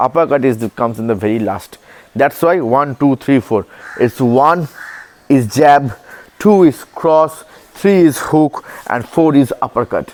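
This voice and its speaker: A man with an Indian accent speaks at a fairly slow pace in a fairly high pitch, with lively intonation and long, frequent pauses, in a dry, close sound with no echo over noticeable background noise. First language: Hindi. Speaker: boxing coach. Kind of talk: tutorial.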